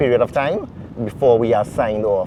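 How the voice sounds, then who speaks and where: A man talks over noticeable background noise. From Trinidad and Tobago. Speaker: airline pilot. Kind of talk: interview. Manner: halting, many fillers. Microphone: wind distortion in mics.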